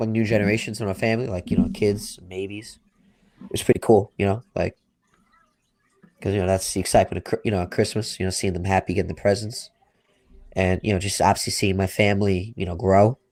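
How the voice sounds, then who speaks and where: With a Long Island accent, a man talks at a very fast pace and a fairly low pitch in a monotone, flat intonation, broken by long, frequent pauses. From Long Island, New York. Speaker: sports podcast co-host. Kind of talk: casual chat. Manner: halting, many fillers.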